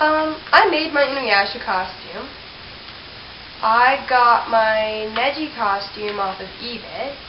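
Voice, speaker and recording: A woman with a fairly high voice and ordinary pitch variation talks over noticeable background noise. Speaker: cosplayer. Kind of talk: casual talk to camera. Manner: unrehearsed, rambling.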